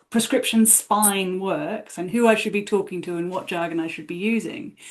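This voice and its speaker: Here a woman speaks with a New Zealand accent at a medium pitch. Her pitch varies in an ordinary way. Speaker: podcast guest. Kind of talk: casual chat.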